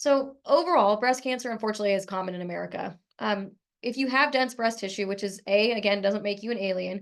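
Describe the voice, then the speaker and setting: Against a quiet background, a woman talks at a very fast pace in a medium pitch with ordinary pitch variation. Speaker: breast surgeon. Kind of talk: medical talk.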